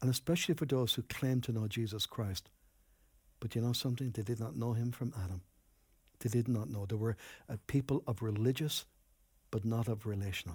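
A somewhat breathy man's voice with an Irish accent, a fairly quick pace and long, frequent pauses, in a very clean recording with a silent background. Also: medium pitch for a man, ordinary pitch variation. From Ireland, Enniscorthy, County Wexford. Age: 60s. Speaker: pastor. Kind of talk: sermon.

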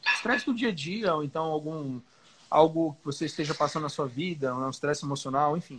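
Pitched fairly high, this man has an unremarkable speaking voice whose pitch rises and falls in an ordinary way. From Belém, Pará, northern Brazil. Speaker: professional bodybuilder. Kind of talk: casual chat.

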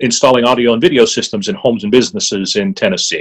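In an American accent, a man with an unremarkable speaking voice talks at a medium pitch with lively intonation. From southwestern Pennsylvania. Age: 50s. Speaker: author and former drummer with Parkinson's. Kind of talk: interview.

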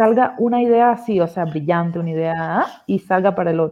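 This woman talks at a moderate pace with lively intonation. She has a normal speaking voice. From Cuba. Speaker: agile coach. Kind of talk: casual chat.

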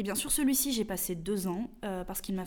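In a southern French accent, a woman speaks with a dark, mellow tone amid audible room echo. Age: young. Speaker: novelist. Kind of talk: interview.

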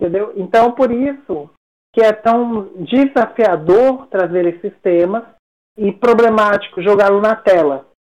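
At a fairly slow pace, a woman talks in a normal speaking voice, fairly high in pitch, with ordinary pitch variation. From Brasília, Brazil. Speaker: psychology professor. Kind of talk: interview conversation.

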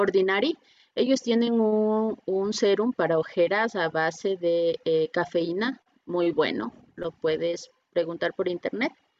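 The speaker is a woman with a medium pitch. She moves at a very slow pace, with ordinary pitch variation. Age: 30s. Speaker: beautician. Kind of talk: online workshop presentation.

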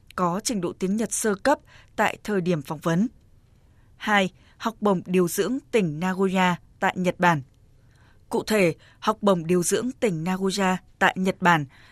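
The sound is dry and close, without any echo. A woman talks at a medium pitch, her pitch varying in an ordinary way. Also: very clean recording, silent background. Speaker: radio announcer. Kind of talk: scripted news reading.

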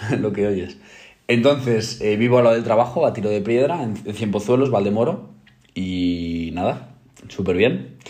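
A man's dark, mellow voice at a fairly low pitch, fairly slow pace and lively intonation, with audible room echo. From Spain, provincial. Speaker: podcast co-host. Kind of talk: casual chat.

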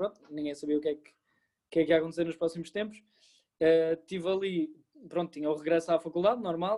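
A fairly quick-paced man with a high pitch and a dark, mellow tone. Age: 20s. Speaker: law student and former volunteer. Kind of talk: interview. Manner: hesitant, with many fillers.

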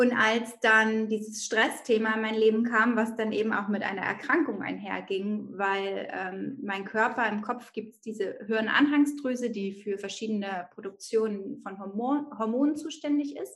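A woman speaks in an ordinary speaking voice at a fairly high pitch with ordinary pitch variation. Her pace is moderate, with hardly any pauses. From northern Germany, Bremen. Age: 30s. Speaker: mindfulness coach and mother. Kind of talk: podcast interview.

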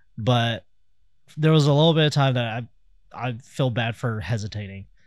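With lively intonation and a medium pitch, a man talks on a very clean recording with a silent background. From Kansas City, US Midwest. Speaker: podcast co-host. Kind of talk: casual chat podcast.

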